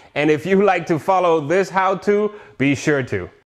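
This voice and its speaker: With ordinary pitch variation, a man talks at a moderate pace while the background stays quiet. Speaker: motorbike channel host. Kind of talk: casual vlog chat and tutorial. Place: garage. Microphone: lapel.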